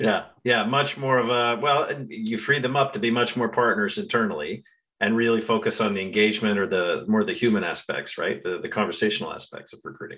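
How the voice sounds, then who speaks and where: On a very clean recording with a silent background, a man talks fairly quickly, his loudness rising and falling sharply. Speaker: podcast host. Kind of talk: interview.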